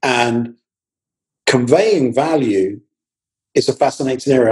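This man's somewhat breathy voice sits at a medium pitch, with a dark, mellow tone and ordinary pitch variation. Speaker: marketing professor and personal branding coach. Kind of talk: interview.

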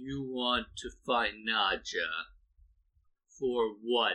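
A put-on character voice from a man, medium in pitch and very slow in pace. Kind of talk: tabletop game master character voice. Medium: actual play. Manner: broken, halting speech in short fragments.

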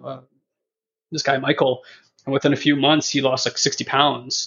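With a normal speaking voice, a man talks at a moderate pace and fairly high pitch, his intonation fairly even. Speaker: personal development educator. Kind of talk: casual conversation.

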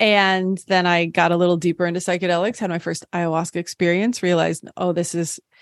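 A woman with an American accent has a normal speaking voice and a fairly low pitch, talking at a fairly quick pace. The recording sounds dry and close, with no echo. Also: very clean recording, silent background. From US Midwest, southern Illinois. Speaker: physician and psychedelic medicine advocate. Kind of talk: interview.

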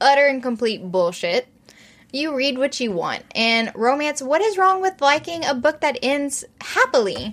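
Speaking fairly slowly in a high voice, a woman sounds animated, her pitch swinging very widely. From South Louisiana, Cajun country (St. Martinville). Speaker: romance podcast co-host. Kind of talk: casual chat.

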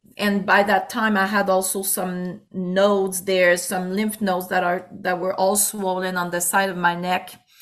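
In a Quebec accent, a woman speaks at a fairly slow pace in a medium pitch, her intonation monotone and flat. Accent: Québécois French. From Quebec City, Quebec. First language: French. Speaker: pastor and musician. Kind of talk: interview.

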